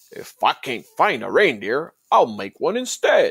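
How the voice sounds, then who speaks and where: A growling, put-on character voice comes through at a fairly slow pace. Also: man. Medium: read story. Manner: snarling, sneering.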